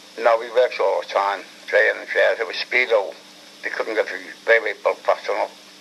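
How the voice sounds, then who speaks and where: The speech moves at a fairly quick pace with big swings in loudness and noticeable background noise. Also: man. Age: 80s+. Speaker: war veteran, former prisoner of war. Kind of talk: interview answer.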